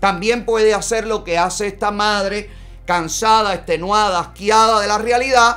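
Faint music sits behind the voice. A man talks fairly slowly. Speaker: live show host commentator. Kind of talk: political commentary. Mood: indignant, sarcastic. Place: studio.

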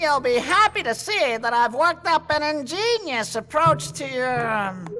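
Cartoonish character voice with big pitch swings, a bright, sharp tone and a fairly slow pace, over faint background music

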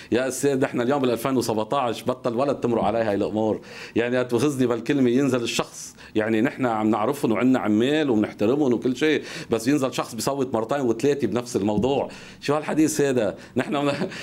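A man talks in a normal speaking voice at a fairly quick pace and medium pitch. His intonation is fairly even, and his loudness stays very even. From Lebanon. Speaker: political party activist; guest. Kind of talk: TV interview. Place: studio. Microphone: lapel.

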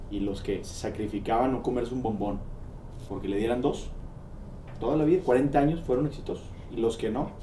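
A man with a Mexican accent talks at a fairly quick pace, broken by long, frequent pauses, with ordinary pitch variation. Light background noise and audible room echo are present. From Mexico. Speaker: podcast interviewer. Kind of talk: casual interview. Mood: reflective, thoughtful. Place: studio.

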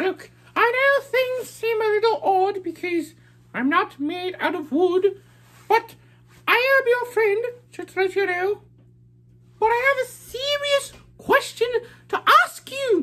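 An extremely high voice speaks at a fairly slow pace, broken by long, frequent pauses. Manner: earnest, friendly, explanatory.

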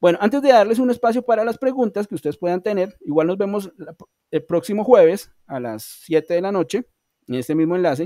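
A man's dark, mellow tone at a fairly quick pace, with a dry, echo-free sound and a quiet background. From Colombia. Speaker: online English teacher. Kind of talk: online class lecture. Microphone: video call.

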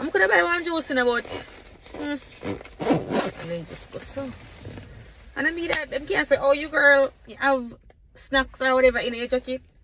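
A woman speaks in a high, raised and projected voice with lively intonation and big swings in loudness. She leaves long, frequent pauses, and the dry sound has no echo but noticeable background noise. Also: moderate pace. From Jamaica. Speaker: vlogger. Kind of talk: casual vlog.

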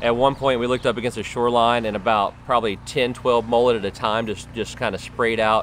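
A man talks very fast in a monotone, flat delivery, with dry sound free of echo and light background noise. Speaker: fishing video host. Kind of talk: tutorial. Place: waterside.

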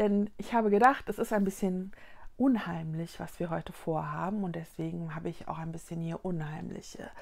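A woman's warm, fairly low voice at a moderate pace. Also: ordinary pitch variation. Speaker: children's book reader. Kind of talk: casual talk to camera, introduction. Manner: warm, friendly, addressing children. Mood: playful, mock spooky. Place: home room. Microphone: lapel.

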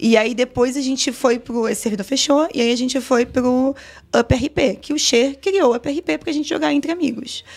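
Pitch varies in an ordinary way here. The pace stays moderate. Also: woman, high pitch for a woman. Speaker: GTA RP streamer and server administrator; GTA RP streamer. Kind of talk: casual podcast interview. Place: studio. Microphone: studio mic.

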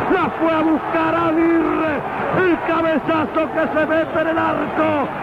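Over crowd noise in the background, a man speaks very slowly in an extremely high pitch, his intonation flat and monotone and his loudness very even. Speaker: radio football play-by-play commentator. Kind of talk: live radio football commentary.

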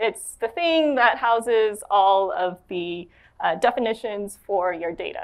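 With an American accent, a woman talks at a fairly slow pace. Her intonation is lively, and the background is quiet. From Los Angeles, US. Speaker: software developer; conference presenter. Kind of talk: conference talk. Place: stage. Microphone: lapel.

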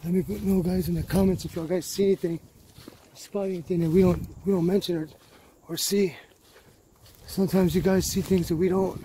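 Fairly quick speech in a dry sound with no echo, over light background noise. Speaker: explorer vlogger. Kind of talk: casual vlog chat. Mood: cautious, wary. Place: open country. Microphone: phone near.

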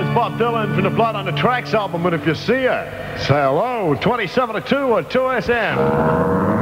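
A man speaks at a moderate pace over loud background noise. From Australia. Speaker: radio DJ. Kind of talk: radio DJ patter. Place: studio. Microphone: old recording.

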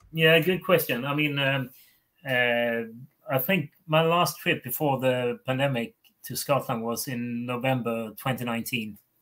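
A man with a Swedish accent speaks at a fairly slow pace. His tone is bright and sharp against a quiet background. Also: medium pitch for a man, ordinary pitch variation. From Sweden. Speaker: whisky author; guest. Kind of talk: casual chat. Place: home room.

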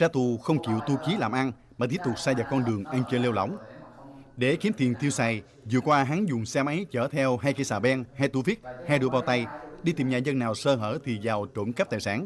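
A man talks at a fairly quick pace and medium pitch, his pitch varying in an ordinary way, with noticeable background noise behind him. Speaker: news narrator. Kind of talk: news reading. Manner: formal.

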